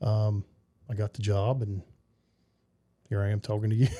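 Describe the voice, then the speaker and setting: A man's somewhat breathy, dark, mellow voice, fairly low in pitch, with a Southern US accent, fairly even intonation, and a fairly quick pace. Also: dry, close sound with no echo. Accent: Southern twang. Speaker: basketball coach. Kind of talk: casual interview chat. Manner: halting, repeats words.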